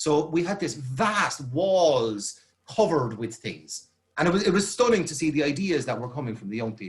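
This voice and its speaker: With a fairly high pitch, very wide pitch swings, big swings in loudness and a somewhat breathy quality, a man speaks. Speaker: youth worker. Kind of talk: presentation. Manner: fast.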